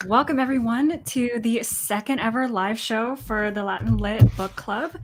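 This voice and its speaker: A woman's somewhat breathy, fairly high voice with an American accent, ordinary pitch variation and a fairly slow pace. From US. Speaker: book club host. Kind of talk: casual chat. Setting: live stream.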